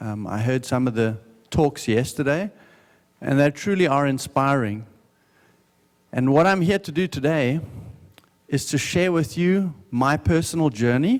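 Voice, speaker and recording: A man with a South African accent, fairly high in pitch and lively in intonation, at a fairly slow pace with long, frequent pauses. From South Africa, Johannesburg. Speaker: business owner giving a talk. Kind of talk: testimony talk at a conference. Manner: slow, deliberate.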